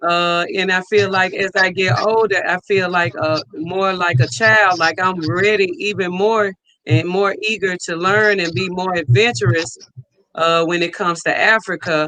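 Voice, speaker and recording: Raised and projected, a man's voice comes through at a high pitch with a bright, sharp tone, ordinary pitch variation and a fairly slow pace. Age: 40s. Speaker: channel host. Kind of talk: live stream interview.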